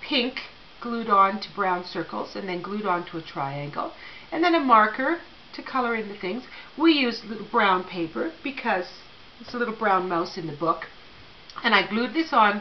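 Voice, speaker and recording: Over light background noise, a woman speaks at a moderate pace with big swings in loudness. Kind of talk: tutorial. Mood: warm, friendly. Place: hall. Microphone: phone near.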